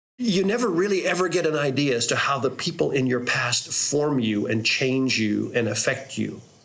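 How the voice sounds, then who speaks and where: Audible room echo surrounds a voice with lively intonation, very even loudness and a moderate pace. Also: man, fairly high pitch for a man. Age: 60s. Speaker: pastor. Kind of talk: reflective storytelling monologue. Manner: halting, with repeated words.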